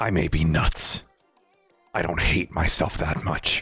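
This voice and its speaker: With faint music in the background, a man puts on a raspy character voice at a very deep, low pitch, talking at a fairly slow pace. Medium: machinima. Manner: terse, guarded, short answers.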